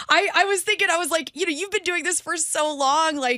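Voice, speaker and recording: This woman uses a raised, projected voice with a bright, sharp tone. She sounds animated and moves at a fairly quick pace. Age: 40s. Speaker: radio host. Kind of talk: interview.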